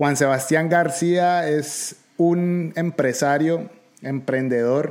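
A man at a very slow pace. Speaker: podcast host. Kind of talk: interview conversation.

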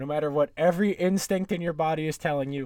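A man speaks in a normal speaking voice with an American accent and ordinary pitch variation. The recording is very clean, with a silent background. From New York area. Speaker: sports podcast host. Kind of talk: solo podcast monologue, sports betting talk. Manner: casual, conversational.

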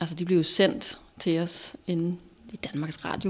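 A plain, everyday voice with fairly even intonation. It moves at a fairly slow pace. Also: woman. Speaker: former TV host, entrepreneur. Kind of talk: casual chat.

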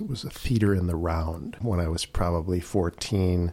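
A man's very deep, low voice with a Chicago accent at a moderate pace. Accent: Chicago American. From Chicago, northwest side. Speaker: blues guitarist. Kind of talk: interview. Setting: radio studio.

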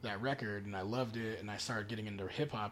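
This man speaks very fast at a medium pitch, with ordinary pitch variation. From Nevada. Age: 20s. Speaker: DJ. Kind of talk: casual chat.

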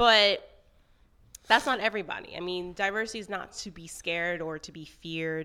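A woman with an American accent talks at a medium pitch, her tone bright and sharp, with ordinary pitch variation and big swings in loudness. The recording is very clean, with a silent background. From Florida. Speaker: podcast co-host. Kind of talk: casual chat.

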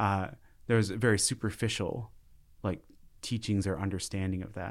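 In a very clean recording with a silent background, the speaker talks fairly quickly with an Upper Midwest accent and fairly even intonation. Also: man. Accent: Upper Midwest American. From Minnesota, Minneapolis suburbs. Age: 30s. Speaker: community organization director. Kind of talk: casual interview.

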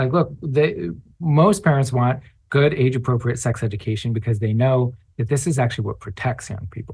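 Somewhat breathy, a man at medium pitch talks at a fairly quick pace with lively intonation. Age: 30s. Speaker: advocacy organizer. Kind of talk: interview.

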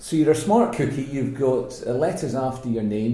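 Audible room echo surrounds a man with a Scottish accent who talks at a moderate pace with fairly even intonation. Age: 40s. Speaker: podcast host. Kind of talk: casual interview chat.

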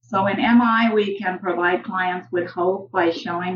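With a normal speaking voice, a woman at medium pitch talks at a fairly slow pace with ordinary pitch variation. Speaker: social work professor. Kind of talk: interview with role-play. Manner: formal.

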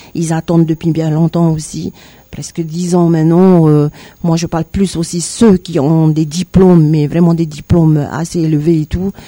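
Recorded with a dry, close sound and no echo, a woman speaks at a fairly slow pace with a fairly low pitch. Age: 50s. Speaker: political candidate. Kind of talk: radio interview. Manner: halting, many hesitations.

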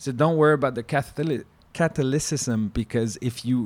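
A man speaks at a medium pitch with a French-Canadian accent and fairly even intonation. The recording is very clean, with a silent background. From Quebec. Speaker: former chef. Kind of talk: casual chat.

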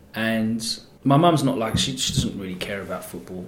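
Room echo is audible as a man with an Essex accent talks at a very fast pace. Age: 30s. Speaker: radio DJ. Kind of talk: casual chat.

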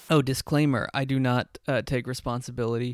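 A man talks at a moderate pace with fairly even intonation in a very clean recording with a silent background. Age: 20s. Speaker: podcast host giving tarot readings. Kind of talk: casual tarot reading chat; read-out ad. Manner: halting, many fillers.

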